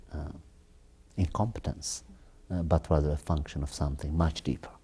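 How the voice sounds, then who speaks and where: This man has a very deep, low pitch. His voice is somewhat breathy. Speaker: TV interview host. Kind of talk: interview. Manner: halting.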